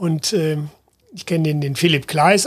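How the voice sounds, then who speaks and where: Over noticeable background noise, the speaker talks at a moderate pace with fairly even intonation. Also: man. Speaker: travel company founder and managing director. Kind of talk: interview.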